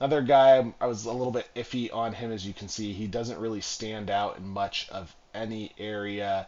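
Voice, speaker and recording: At a moderate pace, a plain, everyday voice talks with ordinary pitch variation. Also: man. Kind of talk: casual gaming commentary. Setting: home recording, tinny mic.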